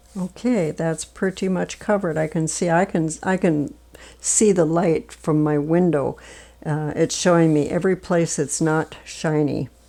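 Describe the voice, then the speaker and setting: In a very clean recording with a silent background, a woman speaks at a fairly slow pace. Her voice is fairly low in pitch, with a dark, mellow tone. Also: ordinary pitch variation. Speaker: art instructor. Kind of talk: tutorial.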